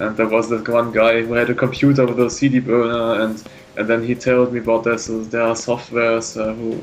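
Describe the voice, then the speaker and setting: Over noticeable background noise, a man with a German accent talks fairly quickly at a medium pitch in a flat monotone. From northern Germany. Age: 20s. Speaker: artist and plant biology student. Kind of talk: interview. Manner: halting.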